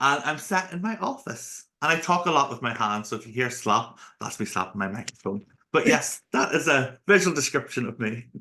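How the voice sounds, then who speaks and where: Bright and sharp in tone, a man with a Northern Irish accent talks at a fairly quick pace at medium pitch, his pitch swinging very widely. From Northern Ireland. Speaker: accessibility speaker and consultant. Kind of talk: podcast interview. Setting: home office, video call. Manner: talkative.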